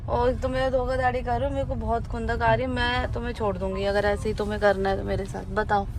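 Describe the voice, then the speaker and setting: A woman's playful, angry tone at a moderate pace with hardly any pauses, over noticeable background noise and audible room echo. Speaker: vlogger. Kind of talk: casual vlog chat in a car. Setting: in a car. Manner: playful mock-angry.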